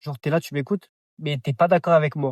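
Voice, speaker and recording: A man's fairly high, somewhat breathy voice at a fairly quick pace, in a very clean recording with a silent background and a dry, close sound with no echo. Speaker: vlogger. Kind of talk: casual vlog monologue. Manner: halting, repetitive.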